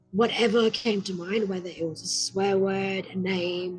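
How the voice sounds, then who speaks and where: A woman at a fairly slow pace over music in the background. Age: 20s. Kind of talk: personal story talk to camera.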